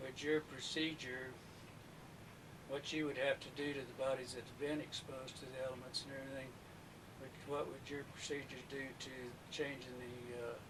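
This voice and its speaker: Over noticeable background noise and audible room echo, a man speaks at a medium pitch and moderate pace in a monotone, flat way, with long, frequent pauses. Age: 60s. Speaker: retired mortician, eyewitness. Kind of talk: recorded interview testimony.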